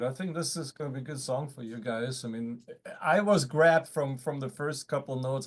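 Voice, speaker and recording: A man with a German accent at medium pitch, ordinary pitch variation and a moderate pace, over a quiet background. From Germany. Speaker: guitarist and producer. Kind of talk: casual chat. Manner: halting.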